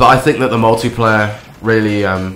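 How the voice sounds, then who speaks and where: A man's fairly low voice comes through noticeable background noise. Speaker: video game commentator. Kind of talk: casual gameplay commentary.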